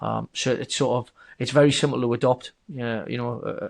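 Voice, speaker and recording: Over a quiet background, a man talks at a medium pitch with a slight northern English accent. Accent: subtle northern English. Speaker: software company founder. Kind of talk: podcast interview. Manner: hesitant, many repeated words.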